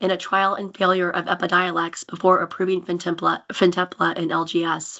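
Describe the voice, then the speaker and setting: A woman's fairly low voice carries vocal fry and a flat, monotone intonation as she speaks fairly quickly. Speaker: pharmaceutical medical liaison. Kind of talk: public testimony. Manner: formal.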